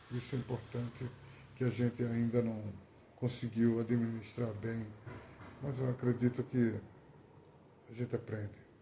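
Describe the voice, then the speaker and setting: A man with a medium-pitched, dark, mellow and somewhat breathy voice speaks at a fairly slow pace in a monotone, flat way, with long, frequent pauses. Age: 60s. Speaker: poet. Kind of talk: testimony. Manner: halting.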